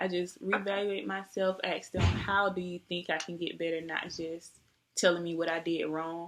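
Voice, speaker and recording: A soft-spoken woman talks at a moderate pace in a fairly low voice. Her intonation stays flat and monotone. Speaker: nursing job applicant. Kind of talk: job interview. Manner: polite, formal. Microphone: webcam recording, poor quality.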